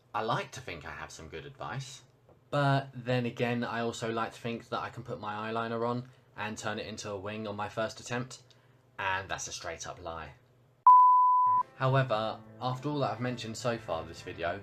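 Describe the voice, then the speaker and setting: A British-accented man at a medium pitch, moderate pace and ordinary pitch variation. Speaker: crossdresser vlogger. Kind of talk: vlog monologue.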